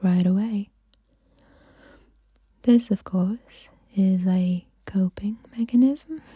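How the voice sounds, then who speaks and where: Soft-spoken and somewhat breathy, a woman at medium pitch speaks at a very slow pace, with a dry, close sound with no echo. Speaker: mental health YouTuber making ASMR. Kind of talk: ASMR soft-spoken relaxation guidance. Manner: soft-spoken, calming.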